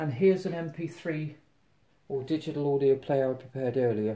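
A man's voice sits at a fairly high pitch, with a dark, mellow tone and a somewhat breathy quality. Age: 50s. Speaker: tech reviewer. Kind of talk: product unboxing review. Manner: casual, halting with fillers. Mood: enthusiastic, chatty. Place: home room. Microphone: phone near.

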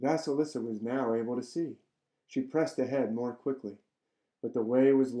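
An unforced reading voice comes through with ordinary pitch variation. The background is quiet.

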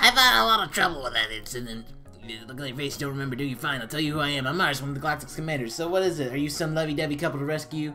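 Over music in the background, a man rattles off lines very fast in a gruff, fairly high put-on character voice. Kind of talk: reading game dialogue aloud, playful commentary. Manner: menacing, taunting.

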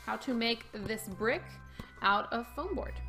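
The pace stays moderate throughout. A woman is talking while faint music sounds behind her. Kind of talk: tutorial. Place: home room.

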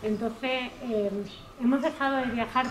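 With noticeable noise in the background, a woman talks in a fairly level intonation. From Garrovillas, Cáceres, Extremadura, Spain; Extremadura, Spain. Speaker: local artist. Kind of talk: speech at public event; informal public presentation. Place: street. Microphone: camera far.

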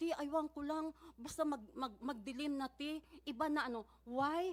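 This woman's delivery is fairly slow. Pitch variation stays ordinary throughout. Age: 60s. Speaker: church community member testifying at hearing. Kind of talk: testimony. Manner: halting.

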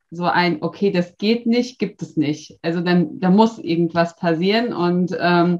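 Her pitch shows ordinary variation. This woman talks at a fairly slow pace. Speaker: interviewee. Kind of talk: interview answer. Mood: cheerful, amused. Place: office. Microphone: webcam.

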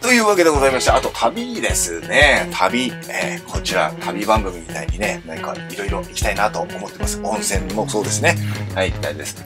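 A man talks at a fairly quick pace with hardly any pauses while clear music plays in the background. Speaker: professional bass player. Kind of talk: casual talk to camera. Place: home room.

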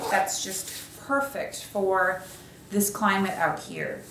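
There is light background noise and audible room echo. A woman speaks at a fairly slow pace. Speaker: product reviewer. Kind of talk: casual product review. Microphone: camera far.

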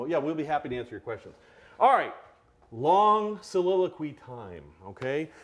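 A man speaks at a fairly quick clip in a fairly high pitch, his animated tone riding very wide pitch swings. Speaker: collector of curiosities. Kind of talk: live-streamed show and tell. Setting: studio, live video stream. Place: studio.

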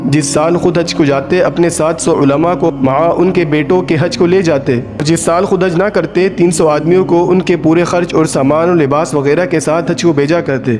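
A man speaks in a high voice with fairly even intonation and very even loudness over noticeable background noise. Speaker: voice artist. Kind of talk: Islamic story narration.

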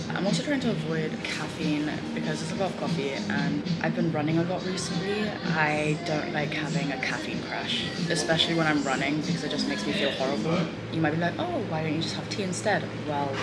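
Over loud music in the background, a woman speaks at a fairly quick pace. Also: ordinary pitch variation. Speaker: student vlogger. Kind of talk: casual vlog chat. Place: cafe. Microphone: phone near.

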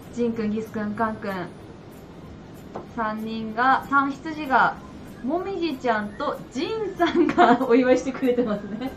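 A woman talks with a high pitch. Noticeable background noise is present. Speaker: shop staff host. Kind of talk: livestream announcement.

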